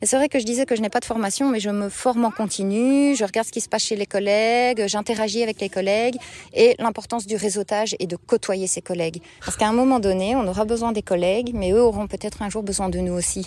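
A woman talks at a very fast pace. Her pitch is fairly high and her intonation fairly even. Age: 30s. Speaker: market gardener. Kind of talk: interview. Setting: outdoors in a field.

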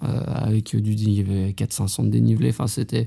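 A man speaks at a moderate pace. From Haute-Savoie, France. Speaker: professional trail runner. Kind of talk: interview. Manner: casual, with filler hesitations.

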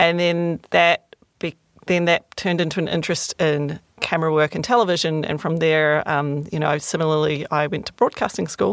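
A woman speaks at a moderate pace in a normal speaking voice. The very clean recording has a silent background and a dry, close sound with no echo. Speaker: guest discussing film. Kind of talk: casual chat.

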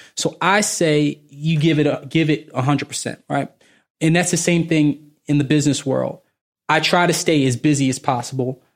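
With a normal speaking voice, a man talks at a moderate pace in a fairly high pitch and fairly even intonation. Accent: American. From Baltimore, Maryland. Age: 30s. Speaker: finance professional. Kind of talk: casual interview.

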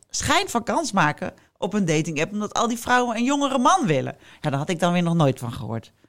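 On a very clean recording with a silent background, a woman speaks fairly quickly at a medium pitch. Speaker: podcast host. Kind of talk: casual chat.

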